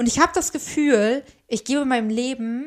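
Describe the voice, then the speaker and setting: The tone is animated. Pitch varies by an ordinary amount. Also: woman. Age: 20s. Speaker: podcast co-host. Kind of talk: casual chat.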